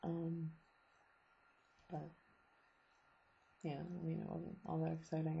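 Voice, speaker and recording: A woman speaks quietly at a moderate pace. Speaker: vlogger, student abroad. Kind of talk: casual video diary. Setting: at home, late night. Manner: hesitant, many ums.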